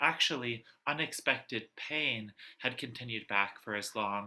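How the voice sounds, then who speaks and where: Soft-spoken and medium-pitched, a man talks at a moderate pace in a bright, sharp tone. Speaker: poet. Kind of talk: poetry reading. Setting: video call.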